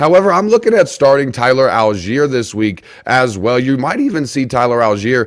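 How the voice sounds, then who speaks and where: A man speaks at a medium pitch. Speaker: fantasy football podcast host. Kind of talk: sports analysis monologue. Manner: fast; energetic.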